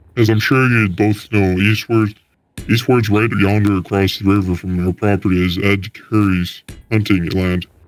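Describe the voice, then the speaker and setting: This put-on character voice is resonant, with very even loudness, fairly even intonation and a moderate pace. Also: man, fairly low pitch for a man. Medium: read story. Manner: slow, lilting storyteller cadence.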